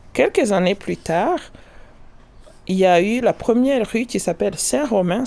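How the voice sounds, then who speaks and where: A woman's dark, mellow tone with vocal fry, very wide pitch swings, and a fairly slow pace. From Rwanda. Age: 50s. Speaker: scientific professional and entrepreneur. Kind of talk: personal testimony.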